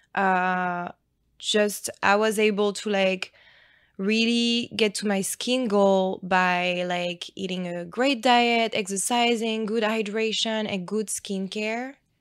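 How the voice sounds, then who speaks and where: The intonation stays fairly even, with a French accent. The pace is very slow. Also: woman, medium pitch for a woman. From France. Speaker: nurse injector. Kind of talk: casual interview chat.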